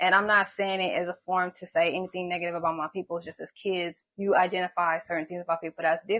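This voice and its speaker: A woman with an American accent talks at a very fast pace, her medium pitch delivered in a monotone, flat intonation. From Hawthorne, Los Angeles area, California. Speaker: massage therapist and singer. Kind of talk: interview.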